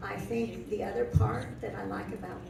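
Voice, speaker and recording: A woman speaks at a moderate pace. Noticeable background noise and audible room echo are present. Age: 70s. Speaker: senior living resident. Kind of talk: panel testimony.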